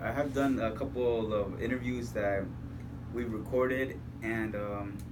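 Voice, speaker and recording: A man at a fairly slow pace and medium pitch, with monotone, flat intonation and audible room echo. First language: Spanish. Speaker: radio host. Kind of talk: casual chat. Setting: recording studio.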